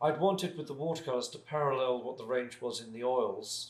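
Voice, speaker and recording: A man with a British accent at a moderate pace. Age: 60s. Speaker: artist and paint maker. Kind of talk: casual interview chat. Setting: home studio. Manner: halting, with many restarts.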